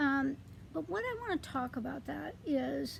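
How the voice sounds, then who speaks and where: A woman is speaking. Her pace is fairly slow. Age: 60s. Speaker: vlogger. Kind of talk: casual vlog monologue. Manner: halting, many fillers.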